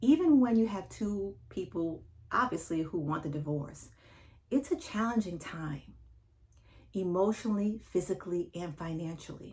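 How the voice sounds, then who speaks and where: A woman's somewhat breathy voice with lively intonation and big swings in loudness. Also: medium pitch for a woman, moderate pace. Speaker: divorce coach. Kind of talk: advice monologue to camera.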